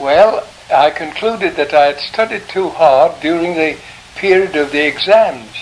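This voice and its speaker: Noticeable background noise sits under a man's high-pitched voice. He keeps a moderate pace. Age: 80s+. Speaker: sculptor, art scholar. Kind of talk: interview answer.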